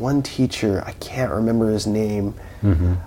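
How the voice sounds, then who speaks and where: A man with a Californian accent and ordinary pitch variation. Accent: Californian American English. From Southern California (Fontana). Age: 20s. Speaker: musician. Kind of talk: interview conversation. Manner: halting, with many fillers.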